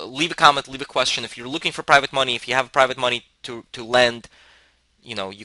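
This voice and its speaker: This man talks at a very fast pace in a medium pitch, with fairly even intonation, a bright, sharp tone, and a dry, close sound with no echo. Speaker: real estate software vendor and educator. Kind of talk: tutorial.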